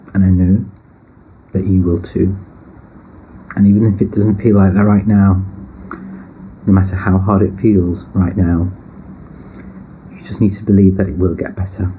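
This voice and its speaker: A man's very deep, low voice with a northern English accent, monotone and flat at a moderate pace, broken by long, frequent pauses, with audible room echo and noticeable background noise. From northern England, British Pakistani. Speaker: personal storyteller. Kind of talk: personal testimony.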